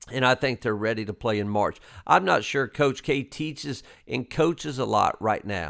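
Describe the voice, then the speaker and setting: Lively intonation and vocal fry mark a voice with a Southern US accent, recorded very clean against a silent background. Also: man, medium pitch for a man, moderate pace. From US South. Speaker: basketball coach, podcast host. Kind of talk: casual interview chat.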